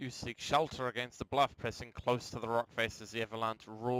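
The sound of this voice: The reading here comes in an unforced reading voice.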